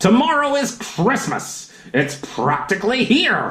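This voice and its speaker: This put-on character voice sits fairly high in pitch and makes very wide pitch swings. The delivery runs at a fairly slow pace. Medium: read story. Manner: snarling, sneering.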